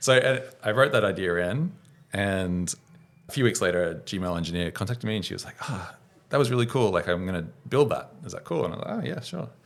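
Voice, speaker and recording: Talking at a very fast pace, a man with an Australian accent has a fairly low pitch. His intonation is lively, and his loudness swings widely. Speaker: startup founder and software engineer. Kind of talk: podcast interview. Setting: studio.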